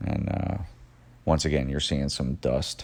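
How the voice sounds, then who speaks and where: This man's voice is very deep and low in pitch. Vocal fry runs through it. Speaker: auto detailer and shop owner. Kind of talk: voiceover narration of detailing video. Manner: monotone; hesitant, many fillers.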